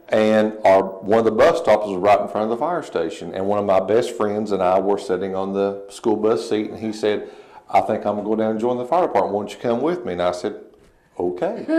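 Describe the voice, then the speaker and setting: A man with an American accent and a fairly low pitch, fairly quick in pace, with audible room echo. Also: ordinary pitch variation. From Eastern Kentucky, US. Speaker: fire chief. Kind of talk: TV interview. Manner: halting, many fillers.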